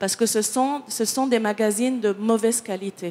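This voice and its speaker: Someone with a non-native accent speaks at a fairly slow pace with ordinary pitch variation. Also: woman. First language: not French (speaking French). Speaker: picture editor. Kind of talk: panel discussion. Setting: conference with audience. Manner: halting, many hesitations and repetitions.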